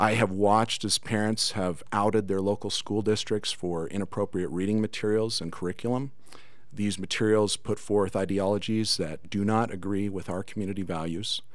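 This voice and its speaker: A man with an American accent has a normal speaking voice at a fairly low pitch. He keeps a moderate pace and fairly even intonation. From Cedar City, Utah. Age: 50s. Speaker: school board candidate. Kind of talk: political debate. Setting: studio.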